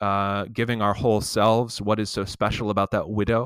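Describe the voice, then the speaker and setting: On a very clean, dry, close recording with a silent background and no echo, a man with an unremarkable speaking voice and fairly low pitch speaks at a moderate pace. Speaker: seminary professor and pastor. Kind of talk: interview conversation.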